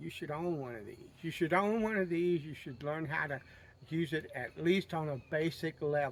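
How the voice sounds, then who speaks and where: Speaking at a moderate pace with a Southern US accent, a man has a fairly high pitch and ordinary pitch variation. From US South. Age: 60s. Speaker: outdoorsman video creator. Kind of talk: casual storytelling and advice.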